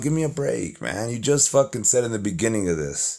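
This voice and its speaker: Noticeable background noise behind a man's moderate pace. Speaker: YouTuber reacting to a video. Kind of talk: reaction commentary. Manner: animated.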